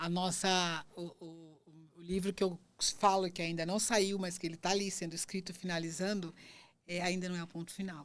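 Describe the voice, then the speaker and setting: Recorded very cleanly against a silent background, a woman speaks in a fairly low pitch with monotone, flat intonation. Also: moderate pace. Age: 60s. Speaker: podcast host. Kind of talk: interview wrap-up, casual chat. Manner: halting, many false starts.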